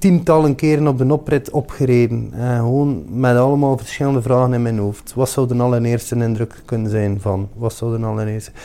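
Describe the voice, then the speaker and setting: Here a man speaks with a dark, mellow tone. His pitch is medium and varies in an ordinary way. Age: 40s. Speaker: chef. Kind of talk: monologue interview answers. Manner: halting, many fillers.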